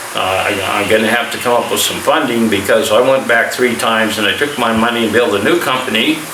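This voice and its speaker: Against noticeable background noise and audible room echo, a man with an American accent speaks at a medium pitch with ordinary pitch variation. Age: 60s. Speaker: army veteran and vlogger. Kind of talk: casual vlog monologue. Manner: halting.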